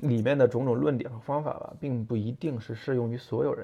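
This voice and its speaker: Music plays behind a man whose voice sits at a medium pitch. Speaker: podcast host, car designer. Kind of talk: solo monologue on design. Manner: hesitant, many fillers.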